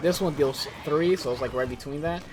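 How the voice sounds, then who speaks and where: The speaker goes at a fairly quick pace with music playing in the background. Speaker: gaming YouTuber. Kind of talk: post-commentated gameplay commentary. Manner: casual with many fillers.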